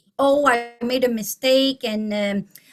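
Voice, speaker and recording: With a Quebec accent, a woman speaks at a fairly high pitch with fairly even intonation. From Quebec, Canada. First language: French. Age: 50s. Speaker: teacher. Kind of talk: testimony. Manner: halting.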